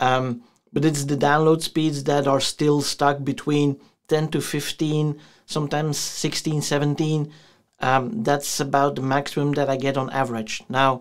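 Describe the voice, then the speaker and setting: Against a quiet background, a man speaks at a fairly slow pace with monotone, flat intonation. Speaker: tech youtuber. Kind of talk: casual vlog review. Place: home room.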